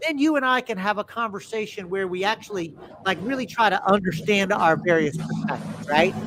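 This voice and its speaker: Speaking quickly with lively intonation, a man with a high pitch and a Texas accent comes through noticeable background noise. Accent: Southern US (Texas). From US South, Texas. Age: 60s. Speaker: podcast host. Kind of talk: casual interview chat. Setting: live stream. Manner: animated storytelling.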